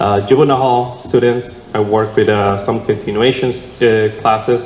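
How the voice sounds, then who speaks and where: Over noticeable background noise and audible room echo, a man talks at a fairly slow pace with a Mexican accent. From Mexico (San Martin, Guadalajara). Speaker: city council candidate. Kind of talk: candidate forum answer. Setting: church hall with audience. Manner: halting, many fillers.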